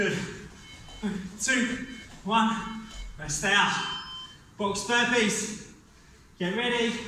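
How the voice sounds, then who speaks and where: In strong room echo with light background noise, a man in a raised, projected voice speaks very slowly with fairly even intonation and long, frequent pauses. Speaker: fitness instructor. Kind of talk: guided workout class. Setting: home workout video. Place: gym. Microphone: camera far.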